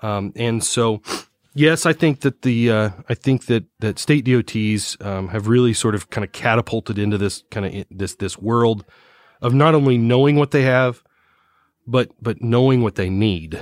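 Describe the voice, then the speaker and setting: A very clean, silent-background recording of a man talking at a moderate pace. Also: medium pitch for a man, ordinary pitch variation. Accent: US Midwestern. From Indiana, US Midwest. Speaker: infrastructure asset management consultant. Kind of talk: podcast interview. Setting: recorded on location. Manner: hesitant, many fillers and repetitions.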